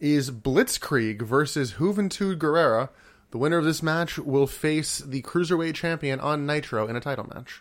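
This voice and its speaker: Fairly high-pitched male voice at a moderate pace. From US Mid-Atlantic. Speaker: podcast host. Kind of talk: casual chat, wrestling podcast.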